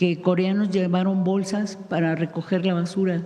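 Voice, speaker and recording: A woman talks fairly slowly. Her voice carries audible room echo, and background noise is noticeable. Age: 60s. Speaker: radio journalist. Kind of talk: press conference question.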